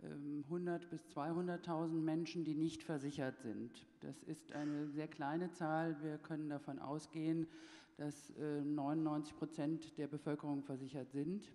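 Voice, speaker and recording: At a very slow pace, a woman speaks in a very deep, low pitch with a dark, mellow tone and monotone, flat intonation. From Germany. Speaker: health insurance executive. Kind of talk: panel debate.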